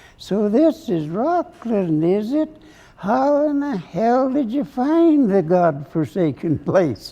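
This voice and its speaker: A put-on character voice, pitched fairly high, with very wide pitch swings. The pace is fairly slow. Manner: skeptical, gruff.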